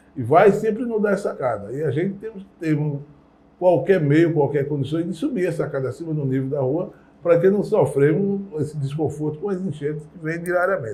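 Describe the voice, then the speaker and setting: In a room with audible echo, a man speaks at a moderate pace, his fairly high pitch showing ordinary variation. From Brazil, Recife (Pernambuco). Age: 60s. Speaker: community elder. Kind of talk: interview testimony.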